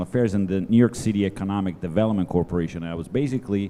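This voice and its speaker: A man with an Italian accent speaks at a very fast pace in a fairly low pitch with ordinary variation. His tone is dark and mellow. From Italy. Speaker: economic development advisor. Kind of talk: panel discussion. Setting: stage with audience. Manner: halting.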